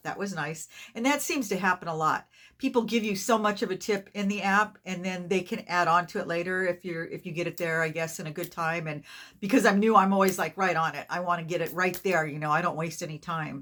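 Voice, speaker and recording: This woman has a bright, sharp tone and a fairly low pitch, with ordinary pitch variation. She talks at a fairly quick pace over a very clean recording with a silent background. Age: 60s. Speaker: rideshare driver. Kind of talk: casual talk to camera.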